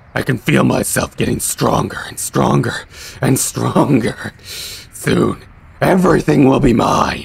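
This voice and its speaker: Using a put-on character voice, a man talks at a fairly slow pace with a raspy sound. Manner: menacing.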